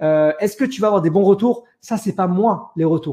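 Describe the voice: A man's high-pitched voice with a dark, mellow tone and a slightly husky edge, at a moderate pace with ordinary pitch variation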